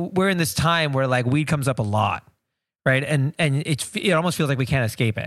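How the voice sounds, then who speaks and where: In an unremarkable speaking voice, a man with a fairly high pitch talks at a fairly quick pace, with ordinary pitch variation and very even loudness. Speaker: podcast co-host. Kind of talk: casual podcast conversation. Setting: studio, face to face across a table.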